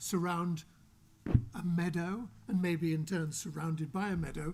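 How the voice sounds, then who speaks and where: A man with an English accent talks at a moderate pace in a high voice. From England. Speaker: author. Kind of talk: panel discussion.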